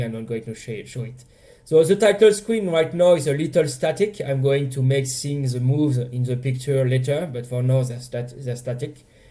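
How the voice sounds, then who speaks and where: With a French accent, a man speaks at a fairly quick pace in a medium pitch, his tone dark and mellow and somewhat breathy. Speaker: indie game developer. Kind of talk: casual dev blog talk over gameplay.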